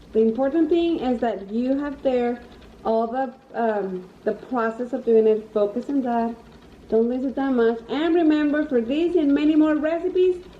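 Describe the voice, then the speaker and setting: With a Spanish accent, a woman with a high pitch talks at a moderate pace with lively intonation. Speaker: cooking channel host. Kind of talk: cooking tutorial. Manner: casual, with fillers and hesitations.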